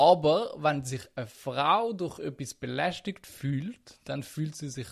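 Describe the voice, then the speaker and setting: A somewhat breathy male voice. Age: 20s. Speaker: podcast co-host. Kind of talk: casual chat.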